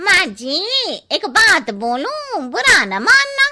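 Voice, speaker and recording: In a cartoonish character voice, a woman speaks at an extremely high pitch and a very slow pace with very wide pitch swings. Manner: blunt.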